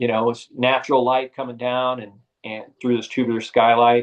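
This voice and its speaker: A man speaks at a moderate pace and medium pitch with an American accent. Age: 60s. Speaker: retired bike shop owner. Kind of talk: interview storytelling. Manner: halting with frequent fillers.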